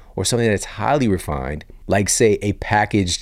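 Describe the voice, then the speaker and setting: A man with a fairly low pitch speaks at a moderate pace in a calm tone. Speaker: podcast host, fitness and nutrition expert. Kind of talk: podcast monologue and interview.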